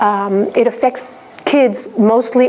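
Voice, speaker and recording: A woman speaks with ordinary pitch variation. Noticeable background noise sits behind her. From raised abroad in seven countries, Spanish. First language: Spanish (bilingual with English). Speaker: researcher and lecturer. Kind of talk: conference presentation. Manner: hesitant, many fillers.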